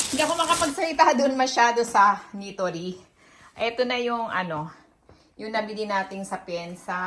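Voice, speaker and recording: Noticeable background noise sits behind a woman speaking at a moderate pace. Her fairly high voice makes very wide pitch swings. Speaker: vlogger. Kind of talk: casual vlog. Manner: halting. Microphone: no external mic, quiet.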